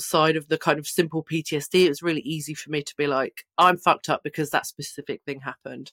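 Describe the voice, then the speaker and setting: Fairly quick speech with an English accent. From England. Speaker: trauma survivor and peer supporter. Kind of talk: casual interview.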